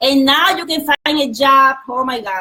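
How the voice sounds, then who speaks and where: In a Spanish accent, the speaker uses a raised, projected voice with lively intonation at a moderate pace. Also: woman. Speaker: retired speech therapist. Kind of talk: interview.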